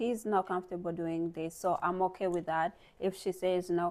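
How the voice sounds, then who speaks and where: In a non-native accent, a woman speaks fairly slowly with monotone, flat intonation on a very clean recording with a silent background. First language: not English. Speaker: lifestyle vlogger. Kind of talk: motivational talk to camera. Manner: casual, halting with fillers.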